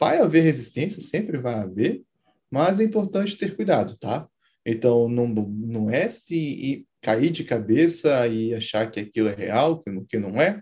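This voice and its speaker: A man's medium-pitched, somewhat breathy voice with a dark, mellow tone, very wide pitch swings and a fairly slow pace. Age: 20s. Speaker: software engineer and startup founder. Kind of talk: interview about technology.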